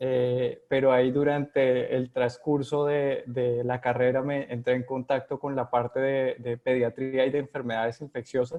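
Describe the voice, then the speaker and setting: A man with a Colombian accent speaks at a fairly slow pace, with hardly any pauses. His medium pitch holds a monotone, flat intonation. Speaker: epidemiologist. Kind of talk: interview. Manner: hesitant, many fillers.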